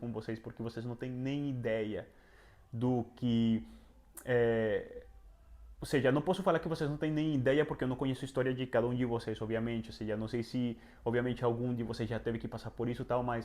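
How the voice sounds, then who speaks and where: Fairly quick in pace, a man speaks at a medium pitch with fairly even intonation. His tone is dark and mellow. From Venezuela. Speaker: travel and self-improvement youtuber. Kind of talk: personal testimony vlog. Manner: halting, many fillers.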